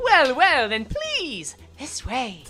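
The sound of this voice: A female-sounding, high-pitched put-on character voice does the talking. Faint music plays in the background.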